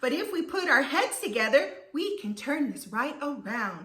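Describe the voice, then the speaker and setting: A woman puts on a character voice. It sits high in pitch and moves at a moderate pace. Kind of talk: bedtime story. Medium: read story.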